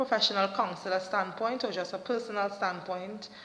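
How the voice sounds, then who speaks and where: In a Trinidadian accent, a woman talks with fairly even intonation. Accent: Trinidadian Caribbean. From Trinidad and Tobago. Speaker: motivational vlogger and counselor. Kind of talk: motivational talk to camera. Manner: hesitant fillers.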